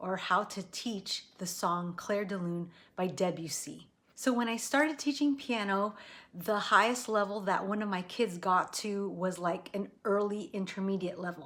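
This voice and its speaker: A woman with an American accent has a normal speaking voice. She talks at a fairly slow pace with ordinary pitch variation. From United States. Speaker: piano teacher. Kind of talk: tutorial. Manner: casual, with fillers.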